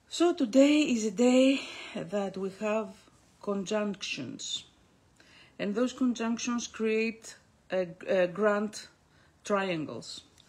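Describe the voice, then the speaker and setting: Speaking with a Greek accent, a woman has a fairly high pitch and a somewhat breathy sound. Her intonation is lively, and her very slow delivery has long, frequent pauses. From Greece. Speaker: astrologer. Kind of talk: monthly astrology forecast broadcast. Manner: halting, many fillers.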